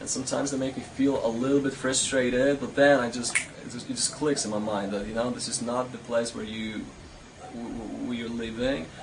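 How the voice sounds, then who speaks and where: A man at a medium pitch and fairly quick pace, fairly even in intonation, with noticeable background noise and audible room echo. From Poland (north, near Gdańsk). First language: Polish. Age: 20s. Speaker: traveler. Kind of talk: interview. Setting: outdoors. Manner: halting.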